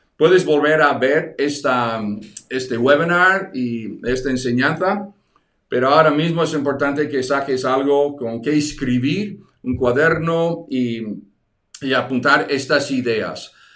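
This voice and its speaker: Audible room echo surrounds a man speaking very slowly at a fairly high pitch with ordinary pitch variation. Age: 60s. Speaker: evangelism teacher. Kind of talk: online teaching webinar. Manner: halting, many repetitions.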